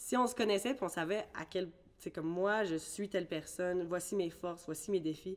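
This woman has an ordinary speaking voice, pitched in the medium range with ordinary pitch variation. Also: moderate pace. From Ireland, then Quebec from age 13. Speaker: singer. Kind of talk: casual interview.

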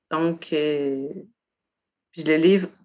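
A woman speaks in a fairly low voice. Her intonation stays fairly even. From Quebec, Côte-de-Beaupré. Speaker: poet and author. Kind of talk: casual interview. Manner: halting, many fillers.

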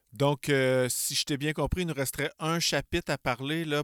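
A man speaks in a Quebec accent. The sound is dry and close, with no echo. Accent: Québécois French. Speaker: podcast host. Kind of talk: casual interview chat.

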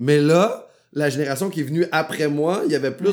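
A man's plain, everyday voice at a fairly quick pace, with ordinary pitch variation. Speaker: comedian. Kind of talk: casual chat.

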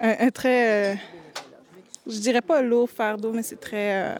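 Fairly even intonation from a woman with a fairly high pitch. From Quebec, Montreal. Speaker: youth ambassador. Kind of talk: interview testimony.

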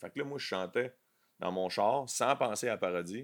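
A man speaks with a Quebec accent. The recording is very clean, with a silent background. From Quebec, south shore. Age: 40s. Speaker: comedian. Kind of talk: casual chat.

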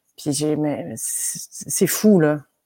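A woman with a fairly low pitch speaks over a silent background in a very clean recording. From Quebec, with primary school years in France. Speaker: neoclassical pianist. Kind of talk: casual chat.

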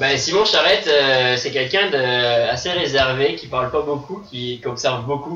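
Noticeable background noise sits behind a man with a medium pitch and ordinary pitch variation. He talks at a fairly slow pace with hardly any pauses. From France, Vendée. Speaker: ultimate frisbee player. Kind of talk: casual chat. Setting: studio.

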